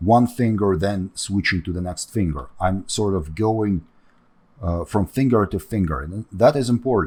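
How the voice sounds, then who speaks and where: Somewhat breathy, the voice moves at a moderate pace with ordinary pitch variation on a very clean recording with a silent background. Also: man, fairly low pitch for a man. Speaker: 3D sculpting artist and tutor. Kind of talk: tutorial. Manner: halting, many fillers.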